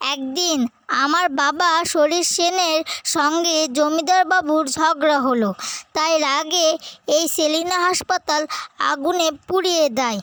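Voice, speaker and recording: A cartoonish character voice at a very slow pace. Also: female-sounding voice, extremely high pitch for a woman. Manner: menacing, cackling.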